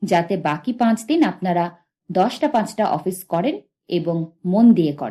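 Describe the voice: Plain reading aloud against a quiet backdrop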